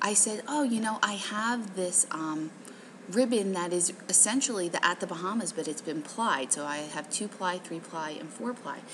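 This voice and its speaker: Soft-spoken, with lively intonation and a moderate pace, the speaker is heard over noticeable background noise. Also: woman, medium pitch for a woman. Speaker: craft shop owner and tutorial host. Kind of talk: tutorial. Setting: hotel lobby. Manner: casual with many fillers.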